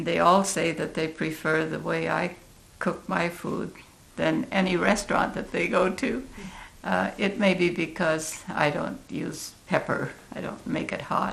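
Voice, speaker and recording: Noticeable background noise and audible room echo surround a woman speaking at a fairly slow pace. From Oregon, US West Coast. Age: 80s+. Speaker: community elder. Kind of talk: interview.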